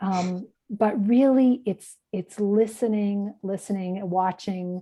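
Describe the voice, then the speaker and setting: A woman in a Canadian accent, dark and mellow in tone, at a very slow pace with fairly even intonation, over a quiet background. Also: medium pitch for a woman. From Canada. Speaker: ESOL tutor trainer. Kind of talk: workshop lecture.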